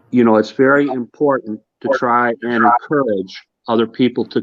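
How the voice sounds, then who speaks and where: A man with an American accent speaks in a plain, everyday voice at medium pitch and a moderate pace, his intonation fairly even. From US Midwest, Hammond, Indiana. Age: 60s. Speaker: kidney patient advocate. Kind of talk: casual panel chat.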